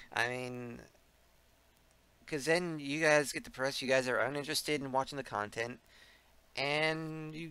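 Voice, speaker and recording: A man with a bright, sharp tone and fairly high pitch, lively intonation at a moderate pace, on a very clean recording with a silent background. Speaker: gaming video creator. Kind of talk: casual vlog to viewers. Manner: low energy; halting.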